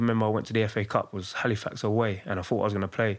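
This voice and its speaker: This man speaks with a London accent at a fairly low pitch. The recording is very clean, with a silent background. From East London. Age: 30s. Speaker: professional footballer. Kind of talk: casual chat.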